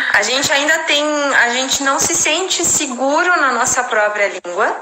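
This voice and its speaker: Raising and projecting her high-pitched voice, a woman speaks at a fairly slow pace with lively intonation amid audible room echo. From Brazil. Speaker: English teacher and translator. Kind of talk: casual chat. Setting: live stream.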